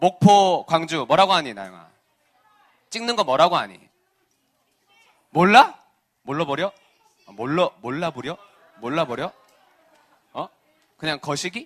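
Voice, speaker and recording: With a Busan accent, a man speaks at a high pitch in an animated tone with lively intonation. His loudness swings a lot, and he leaves long, frequent pauses. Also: fairly slow pace. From South Korea, Busan (Geumjeong-gu). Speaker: children's pastor. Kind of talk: sermon to children.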